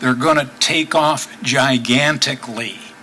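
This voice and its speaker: At a very slow pace, a man speaks at a fairly high pitch with ordinary pitch variation over noticeable background noise. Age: 70s. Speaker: cyclist and public commenter. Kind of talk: public meeting comment.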